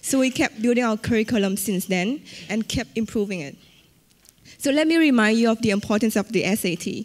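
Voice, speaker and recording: A woman with a Vietnamese accent, fairly high-pitched and at a fairly quick pace. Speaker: entrepreneur. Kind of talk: conference talk.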